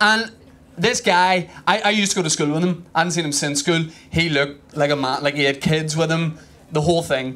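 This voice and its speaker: A man with a Northern Irish accent speaks at a fairly quick pace in a bright, sharp tone, his pitch fairly high with ordinary variation. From Northern Ireland. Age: 30s. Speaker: stand-up comedian. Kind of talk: stand-up comedy set. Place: stage. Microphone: handheld.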